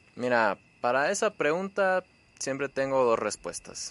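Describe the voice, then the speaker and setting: With very wide pitch swings and a bright, sharp tone, a man speaks in a dry, close sound with no echo. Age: 20s. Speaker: weight-loss interviewee. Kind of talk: casual interview.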